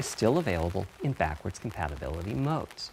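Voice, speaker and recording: Speaking at a fairly quick pace, a man swings his pitch very widely as noticeable background noise carries on. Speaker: console hardware architect. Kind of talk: technical presentation.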